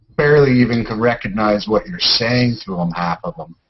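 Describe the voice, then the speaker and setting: In a Canadian accent, a man with a plain, everyday voice speaks at a moderate pace with lively intonation. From Canada. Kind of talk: casual chat.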